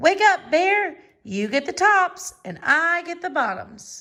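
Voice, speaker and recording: This is a put-on character voice, squeaky and extremely high. It moves at a fairly slow pace. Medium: read story. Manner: smooth, persuasive.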